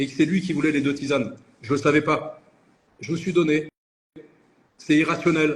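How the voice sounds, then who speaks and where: A man's somewhat breathy, fairly high voice at a moderate pace, with fairly even intonation. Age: 60s. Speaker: entrepreneur. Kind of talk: interview. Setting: live video call.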